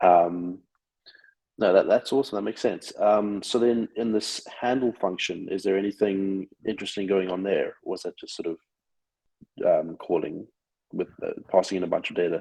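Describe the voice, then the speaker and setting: A man keeps a moderate pace but breaks it with long, frequent pauses. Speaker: show host. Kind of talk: casual chat. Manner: soft-spoken.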